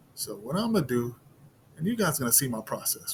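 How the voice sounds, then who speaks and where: Somewhat breathy and fairly high-pitched, a man speaks at a fairly quick pace with very wide pitch swings. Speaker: sports betting video creator. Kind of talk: casual solo commentary on betting picks.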